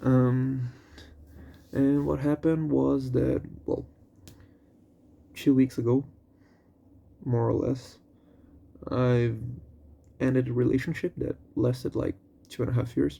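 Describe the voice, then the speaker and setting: A man with a non-native accent and medium pitch speaks at a fairly slow pace with fairly even intonation. He leaves long, frequent pauses. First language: not English. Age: 20s. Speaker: vlogger. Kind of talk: personal venting monologue. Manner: halting, with fillers and repetitions.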